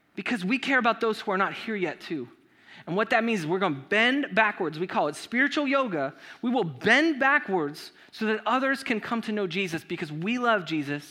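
With an American accent, a man talks at a fairly quick clip in a high, raised and projected voice, his tone bright and sharp and his pitch swinging very widely. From Southern California. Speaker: pastor. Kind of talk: sermon. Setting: church. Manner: casual.

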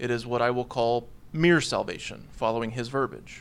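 This man has an unremarkable speaking voice. His pitch is medium and his pace moderate. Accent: American. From US (Texas, Oklahoma, Washington, Alaska). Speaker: theology lecturer. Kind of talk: academic paper reading. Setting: conference panel with audience.

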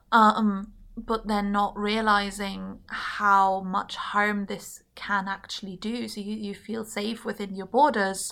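A woman with a German accent, medium pitch, bright, sharp tone and monotone, flat intonation, at a very slow pace with hardly any pauses, big swings in loudness, and a very clean recording with a silent background. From Germany. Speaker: politics student. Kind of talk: casual chat.

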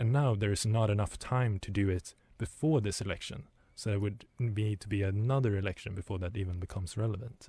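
A man speaks at a fairly quick pace in a fairly low, dark, mellow, somewhat breathy voice with ordinary pitch variation against a quiet background. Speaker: radio host. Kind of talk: radio DJ patter, station ID and song back-announcing. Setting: studio. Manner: brisk, chatty, upbeat.

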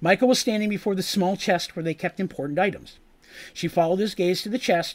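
Someone is reading aloud in a natural voice.

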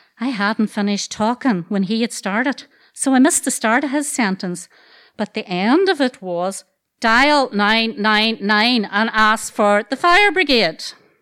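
In a Derry accent, a woman speaks fairly slowly with lively intonation and a bright, sharp tone at a fairly high pitch. The recording is very clean, with a silent background and a dry, close sound with no echo. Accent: Northern Irish (Derry). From Northern Ireland, Dungiven, County Londonderry. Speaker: storyteller. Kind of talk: live storytelling. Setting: stage with audience.

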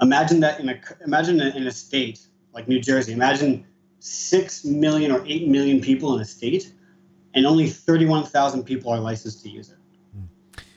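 A plain, everyday voice speaks with an American accent. It moves at a fairly quick pace with ordinary pitch variation. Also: man, fairly high pitch for a man. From US East Coast. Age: 20s. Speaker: cannabis user with PTSD. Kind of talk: personal testimony.

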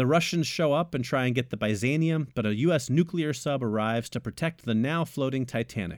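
A man speaks in a normal speaking voice at a medium pitch. His intonation is lively and his pace fairly quick. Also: very clean recording, silent background. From United States. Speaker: film podcast co-host. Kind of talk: scripted narration; casual chat.

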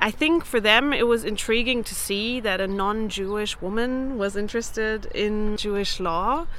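In a German accent, a woman speaks at a fairly slow pace with a bright, sharp tone. Her pitch is fairly high, with ordinary variation. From Germany, Berlin. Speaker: researcher. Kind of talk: interview testimony.

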